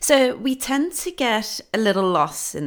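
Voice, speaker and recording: Lively intonation marks a woman's speech at a very slow pace. The recording is very clean, with a silent background. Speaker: ADHD coach, podcast host. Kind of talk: solo podcast monologue. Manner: loud; energetic.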